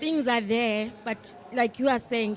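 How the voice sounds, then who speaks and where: A woman with a South African accent speaks at a high pitch. Her pace is moderate and her pitch variation ordinary. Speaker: panel participant. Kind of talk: panel discussion.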